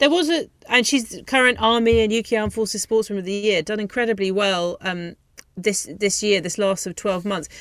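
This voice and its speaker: The speech has a moderate pace, ordinary pitch variation and a plain, everyday voice. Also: woman, medium pitch for a woman. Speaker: radio host. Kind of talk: radio sports show presenting. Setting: studio.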